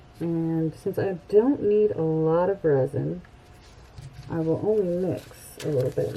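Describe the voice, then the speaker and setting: A woman's fairly low-pitched voice at a fairly slow pace, with ordinary pitch variation and noticeable background noise. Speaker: crafting YouTuber. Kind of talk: tutorial.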